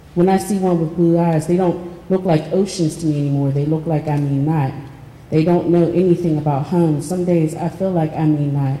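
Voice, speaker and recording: In an American accent, a woman speaks with flat, monotone intonation at a fairly low pitch, with audible room echo around her. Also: moderate pace. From Pittsburgh, US. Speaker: artist and writer; panelist. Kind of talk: reading aloud and panel discussion. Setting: stage with audience. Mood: reflective, personal.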